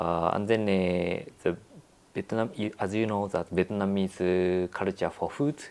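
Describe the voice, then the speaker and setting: Speaking with a Japanese accent, a man uses a fairly low pitch with ordinary pitch variation at a moderate pace, leaving long, frequent pauses. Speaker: architect. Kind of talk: interview. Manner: halting, many fillers.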